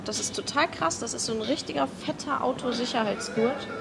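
A woman speaks at a fairly quick pace and fairly high pitch, with vocal fry and ordinary pitch variation. Clear music plays in the background.

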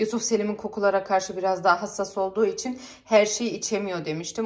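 Noticeable background noise sits behind a woman's medium-pitched voice. She talks at a fairly quick pace with fairly even intonation. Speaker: family vlogger. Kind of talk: casual vlog to camera. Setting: at home.

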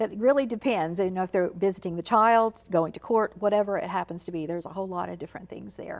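With a quiet background, a woman talks at a very fast pace with hardly any pauses and big swings in loudness. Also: ordinary pitch variation. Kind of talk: interview answer. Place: studio.

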